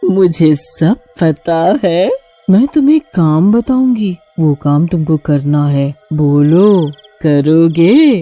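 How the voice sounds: A cartoonish character voice at a middle pitch speaks at a very slow pace, with faint music in the background.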